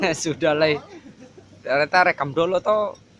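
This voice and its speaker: Over noticeable background noise, a man with an Ambonese accent speaks at a moderate pace with ordinary pitch variation. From Ambon, Maluku. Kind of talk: casual vlog conversation.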